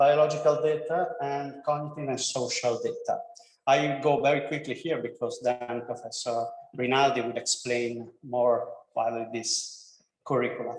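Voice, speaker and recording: Speaking at a moderate pace with an Italian accent, a man uses a fairly high pitch and fairly even intonation amid audible room echo. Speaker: professor, degree programme coordinator. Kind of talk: presentation to prospective students. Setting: classroom, streamed online. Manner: halting, non-fluent English.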